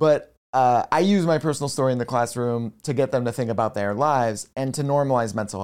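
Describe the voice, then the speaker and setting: With an American accent and an unremarkable speaking voice, a man talks at a fairly quick pace with hardly any pauses, medium pitch and ordinary pitch variation, in a very clean recording with a silent background. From rural Pennsylvania. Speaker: mental health educator. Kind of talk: interview conversation. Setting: in-person at host's home.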